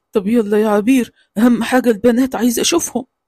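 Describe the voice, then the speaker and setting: A man performs a cartoonish character voice at an extremely high pitch. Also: moderate pace. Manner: gentle, affectionate.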